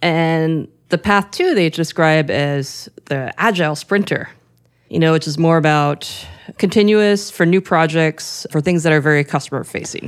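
A woman has a plain, everyday voice with a General American accent and a fairly low pitch. She speaks at a moderate pace with ordinary pitch variation, in a very clean recording with a silent background. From US, Washington DC area. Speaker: podcast co-host, tech company CEO. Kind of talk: casual chat.

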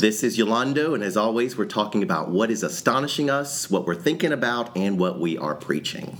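A man's booming, put-on character voice at medium pitch and a fairly quick pace, with noticeable background noise. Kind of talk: pulpit voice. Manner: booming preacher delivery.

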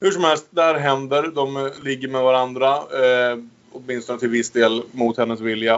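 A man with an unremarkable speaking voice talks at a moderate pace and medium pitch, with fairly even intonation. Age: 30s. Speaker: podcast host. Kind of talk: casual chat.

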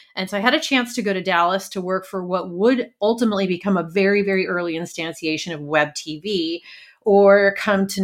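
A woman speaks in a normal speaking voice at a fairly quick pace, medium in pitch with ordinary pitch variation. The recording is very clean, with a silent background. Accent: American. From New York, Brooklyn. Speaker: leadership coach. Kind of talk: interview.

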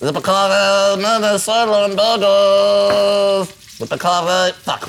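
Putting on a character voice, a man speaks fairly slowly at a high pitch.

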